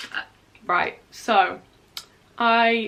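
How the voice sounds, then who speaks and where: A woman speaks with a British accent in a bright, sharp tone. Her intonation stays fairly even. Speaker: university student YouTuber. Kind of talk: casual vlog reaction. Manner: rambling, chatty with fillers.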